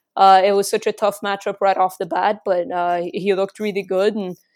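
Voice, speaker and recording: The recording is very clean, with a silent background. This woman's intonation is monotone and flat. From Egypt. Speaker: MMA journalist. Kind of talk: casual interview.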